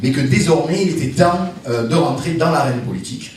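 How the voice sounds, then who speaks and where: With a slight Marseille accent, a man speaks fairly slowly at a fairly high pitch, with noticeable background noise and audible room echo. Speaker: politician. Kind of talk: speech at political meeting. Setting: meeting hall with audience, no roaming mic. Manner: loud; hesitant.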